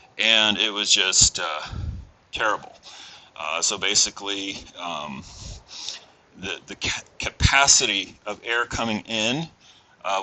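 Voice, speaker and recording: Noticeable background noise sits behind a man's voice. He speaks at a fairly low pitch with ordinary pitch variation. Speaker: auto mechanic. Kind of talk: tutorial. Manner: casual, many fillers.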